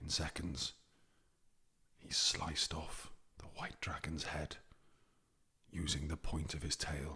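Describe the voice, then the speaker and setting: Soft-spoken and in a Welsh accent, this voice moves at a very slow pace with long, frequent pauses. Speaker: ASMR storyteller. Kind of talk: ASMR story narration. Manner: whispering.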